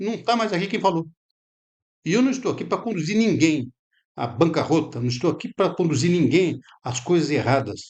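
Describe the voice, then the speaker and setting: A man speaks with a high pitch and very wide pitch swings. Long, frequent pauses break up his speech. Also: moderate pace. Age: 70s. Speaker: lecturer. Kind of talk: lecture. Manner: halting.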